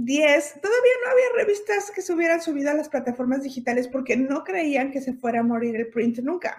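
Lively intonation marks this woman's speech. She moves at a fairly quick pace. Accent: Mexican. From Mexico (Puebla, Hermosillo, Mexico City). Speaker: fashion stylist and image consultant. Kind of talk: interview.

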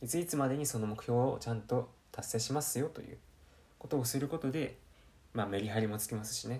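The speech runs at a very fast pace. Pitch variation is ordinary. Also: man, medium pitch for a man. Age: 20s. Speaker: podcast host. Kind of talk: solo self-improvement talk. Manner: casual, many fillers.

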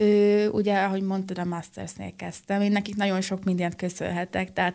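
On a very clean recording with a silent background, a woman speaks at a very fast pace and a medium pitch in a monotone, flat intonation. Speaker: acrobatic rock and roll dancer. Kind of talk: radio interview. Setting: studio.

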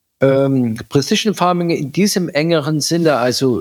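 A man's fairly slow speech, recorded dry and close with no echo. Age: 50s. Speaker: agricultural company director. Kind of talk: interview.

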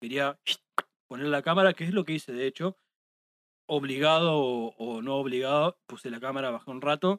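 Pausing long and often, a man speaks at a moderate pace in a fairly high pitch with ordinary pitch variation. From Argentina, La Pampa province. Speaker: live music photographer. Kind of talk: casual chat. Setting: studio.

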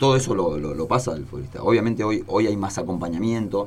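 A man talks at a fairly quick pace with ordinary pitch variation. The room echo is audible. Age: 40s. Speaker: former footballer. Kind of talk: interview. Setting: studio.

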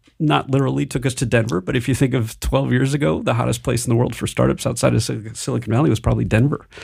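Lively intonation and vocal fry mark speech delivered at a very fast pace. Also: man, medium pitch for a man. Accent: American. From Michigan, US Midwest. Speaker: startup founder and venture capital executive. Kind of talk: interview. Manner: halting, frequent repetitions.

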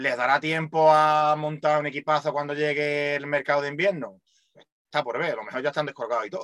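A man with a Málaga accent, fairly high pitch, fairly even intonation and a fairly quick pace. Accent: Málaga Andalusian Spanish. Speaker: radio co-host. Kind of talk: casual chat.

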